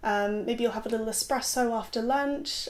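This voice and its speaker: A woman's high-pitched voice with an English accent and ordinary pitch variation. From southwest England, rural. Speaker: content creator. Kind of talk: casual vlog monologue.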